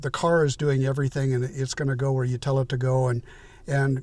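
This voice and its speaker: A man with an American accent speaks at a fairly quick pace. His voice is fairly high-pitched and somewhat breathy. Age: 70s. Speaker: YouTuber, retired tech professional. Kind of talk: casual vlog monologue. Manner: hesitant, many fillers and repeats.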